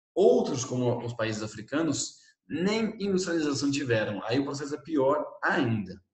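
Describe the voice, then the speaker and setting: A man with a fairly high pitch talks at a moderate pace with very wide pitch swings, and the room echo is audible. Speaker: teacher. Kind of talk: lecture. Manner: animated.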